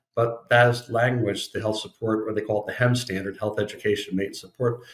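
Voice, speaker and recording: Very fast and somewhat breathy, a man speaks at a fairly low pitch. His intonation stays fairly even. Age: 60s. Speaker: estate planning attorney. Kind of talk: podcast interview.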